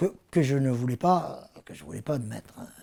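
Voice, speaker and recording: A man speaks in a dark, mellow tone at a moderate pace with ordinary pitch variation. The recording is very clean, with a silent background. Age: 60s. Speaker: patient giving testimony. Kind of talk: testimony. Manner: halting, many hesitations.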